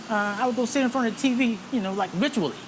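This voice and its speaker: Very fast speech over noticeable background noise. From US South. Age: 60s. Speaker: retired military veteran. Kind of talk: interview. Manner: casual, many fillers.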